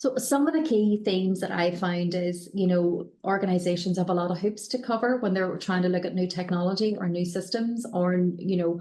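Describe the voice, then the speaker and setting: A woman with a Northern Irish accent speaks fairly quickly with hardly any pauses, keeping her loudness very even and her medium pitch ordinarily varied, over noticeable background noise. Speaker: company director, panel expert. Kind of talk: panel webinar discussion. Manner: hesitant, many fillers and repetitions.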